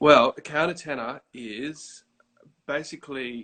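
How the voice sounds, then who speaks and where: A man with an Australian accent and fairly even intonation. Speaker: countertenor singer. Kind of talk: casual interview.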